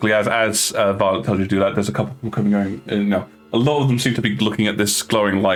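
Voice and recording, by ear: A passage is being read out. The speaker sounds natural.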